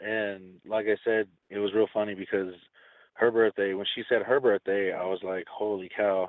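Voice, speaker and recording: A man uses a normal speaking voice at a fairly low pitch. He speaks at a fairly slow pace. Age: 30s. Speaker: caller. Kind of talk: phone-in consultation.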